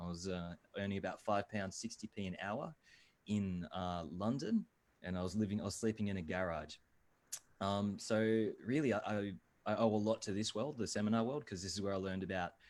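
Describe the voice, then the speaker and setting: This man talks at a fairly quick pace, his fairly low voice showing ordinary pitch variation. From Australia. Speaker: video marketing expert. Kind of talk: webinar talk. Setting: video call.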